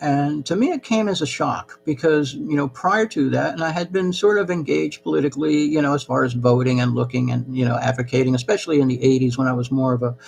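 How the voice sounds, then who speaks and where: Against noticeable background noise, a man with an American accent talks at a very fast pace with hardly any pauses, at medium pitch with ordinary pitch variation. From US, New Jersey, with childhood years in Peru. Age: 60s. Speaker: channel host. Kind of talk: live-stream monologue. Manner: halting, many fillers.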